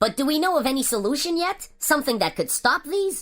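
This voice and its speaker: A woman puts on a character voice, high-pitched and at a fairly quick pace. Her pitch swings very widely over a very clean recording with a silent background. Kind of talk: news broadcast anchor. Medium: audio drama.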